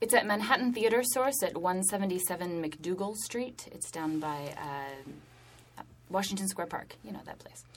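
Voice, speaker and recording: A woman with a normal speaking voice and medium pitch talks fairly slowly with lively intonation, big swings in loudness and hardly any pauses. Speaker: theater director. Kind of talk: casual interview chat.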